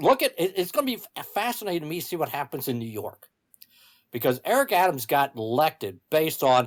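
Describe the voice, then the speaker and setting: Here a man speaks with an American accent at a moderate pace. His pitch swings very widely in a very clean recording with a silent background. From US Midwest. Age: 60s. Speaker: political commentator and author. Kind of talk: political podcast discussion. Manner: halting with repetitions.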